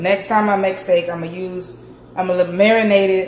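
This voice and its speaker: A woman talks at a moderate pace with a medium pitch and fairly even intonation. Audible room echo and noticeable background noise fill the recording. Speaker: cooking vlogger. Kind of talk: casual vlog. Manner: casual, chatty.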